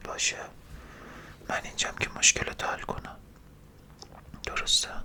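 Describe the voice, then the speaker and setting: A woman whispers in a calm tone over noticeable background noise. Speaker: ASMR creator doing a brain-washing roleplay as a doctor. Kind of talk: ASMR roleplay personal attention, soothing. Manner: soft, calm, slow, reassuring.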